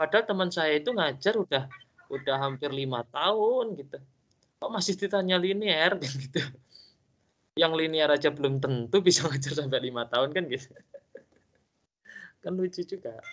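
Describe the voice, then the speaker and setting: A man with a fairly high pitch and lively intonation talks at a moderate pace, leaving long, frequent pauses. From East Java, Indonesia. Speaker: university tutor. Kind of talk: online tutorial discussion.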